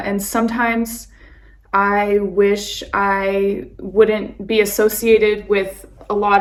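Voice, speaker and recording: A woman's medium-pitched, monotone voice with flat intonation and an American accent, plus audible room echo. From California, San Francisco Bay Area. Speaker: vlogger, expat and nurse. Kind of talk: casual vlog talk.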